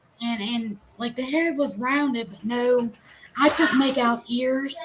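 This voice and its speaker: Amid noticeable background noise, a woman speaks at a high pitch and a fairly slow pace, with ordinary pitch variation. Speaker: paranormal researcher. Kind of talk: casual chat. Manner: animated.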